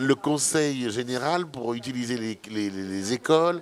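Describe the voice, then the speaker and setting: A man's ordinary speaking voice at medium pitch with ordinary pitch variation. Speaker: filmmaker, anti-fatphobia activist. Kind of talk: radio interview.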